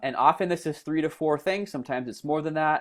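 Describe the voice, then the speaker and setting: A male speaker, background quiet. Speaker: marketing consultant. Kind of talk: tutorial. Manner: fast; halting.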